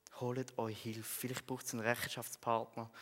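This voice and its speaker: This man talks at a moderate pace with a medium pitch. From Switzerland, Frauenfeld (Thurgau). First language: Swiss German (speaking German). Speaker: theology student and lay preacher. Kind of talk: sermon. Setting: church.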